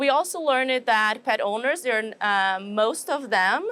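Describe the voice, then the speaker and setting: A woman speaks with a Brazilian accent in a fairly high voice. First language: Portuguese. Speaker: animal nutrition professor. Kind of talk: interview. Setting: trade show.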